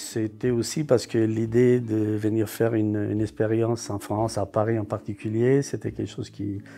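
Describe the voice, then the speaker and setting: Over noticeable background noise, a man with an Italian accent speaks at a moderate pace in a medium, monotone voice with flat intonation. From Sardinia, Italy. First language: Italian (speaking French). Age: 60s. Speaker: immigrant resident. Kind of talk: personal testimony.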